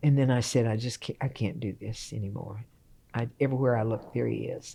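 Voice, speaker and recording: A woman speaks in a very deep, low pitch with vocal fry, a dark, mellow tone and fairly even intonation. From Texas. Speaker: retired piano professor. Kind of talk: casual interview.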